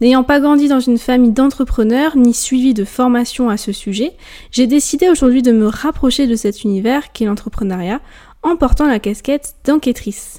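In a dark, mellow tone, a woman speaks at a moderate pace with a high pitch and ordinary pitch variation. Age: 20s. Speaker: podcast host, student. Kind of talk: scripted podcast introduction. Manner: formal.

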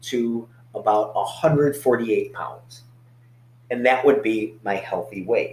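This man's voice sounds somewhat breathy. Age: 40s. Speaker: fitness coach. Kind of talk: casual chat. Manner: halting.

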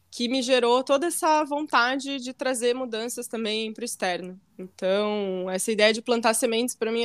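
The speaker uses a normal speaking voice at a moderate pace with ordinary pitch variation, hardly any pauses and big swings in loudness. The recording is very clean, with a silent background. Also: woman. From Rio Grande do Sul, Brazil (Santa Maria). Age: 20s. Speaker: podcast co-host, yoga teacher. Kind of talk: casual chat.

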